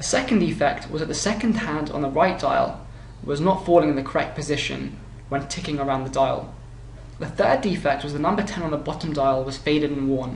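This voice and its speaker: With a British accent and a fairly high pitch, a man speaks at a fairly quick pace with ordinary pitch variation, amid audible room echo and noticeable background noise. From UK. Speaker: consumer reviewer. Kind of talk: product review narration. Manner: halting.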